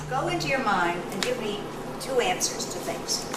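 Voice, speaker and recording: Over noticeable background noise and audible room echo, a woman speaks at a fairly slow pace with lively intonation. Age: 70s. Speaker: retired teacher of aging class, emphysema patient. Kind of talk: documentary interview; classroom discussion.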